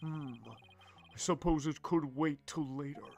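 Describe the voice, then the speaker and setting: A man's put-on character voice, fairly high in pitch with fairly even intonation. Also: moderate pace. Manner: theatrical.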